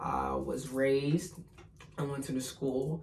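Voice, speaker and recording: A fairly slow voice with an American accent, audible room echo and noticeable background noise. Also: man. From US, Pittsburgh, Pennsylvania. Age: 20s. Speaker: spiritual vlogger. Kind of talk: casual personal vlog monologue.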